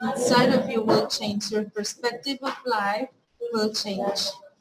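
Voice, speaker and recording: Speaking in a normal speaking voice, a woman keeps a fairly slow pace. Her pitch is fairly high and her intonation fairly even. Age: 20s. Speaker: spirituality guest. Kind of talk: casual interview chat.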